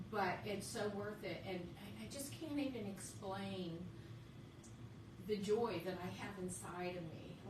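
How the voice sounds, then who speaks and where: With a western Pennsylvania accent, the speaker goes at a fairly slow pace with very wide pitch swings, while noticeable background noise and audible room echo fill the recording. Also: woman, medium pitch for a woman. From western Pennsylvania, Indiana County. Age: 50s. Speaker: author. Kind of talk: radio interview. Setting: studio.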